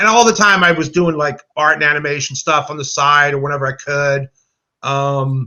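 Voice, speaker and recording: A man with an American accent has an unremarkable speaking voice at a fairly high pitch. He talks at a moderate pace with ordinary pitch variation. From suburban New Jersey. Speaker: filmmaker and animator. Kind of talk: casual interview chat. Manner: casual, filler-heavy.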